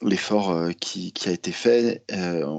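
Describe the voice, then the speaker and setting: The speaker is a man. His tone is dark and mellow. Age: 40s. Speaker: basketball journalist and author. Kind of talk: podcast interview. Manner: hesitant, many fillers.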